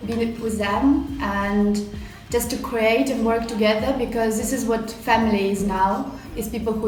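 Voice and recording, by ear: Over audible room echo, a woman speaks at a medium pitch and a fairly slow pace, her intonation fairly even.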